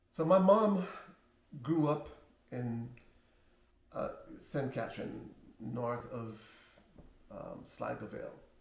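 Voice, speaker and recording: Somewhat breathy and very slow, a man speaks with lively intonation. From Jamaica. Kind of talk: personal life story, casual talk to camera.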